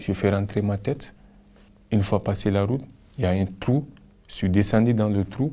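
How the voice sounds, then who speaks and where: A man speaks with a fairly low pitch and very even loudness. He leaves long, frequent pauses. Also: ordinary pitch variation, moderate pace. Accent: Cameroonian. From Cameroon. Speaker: migrant. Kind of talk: personal testimony.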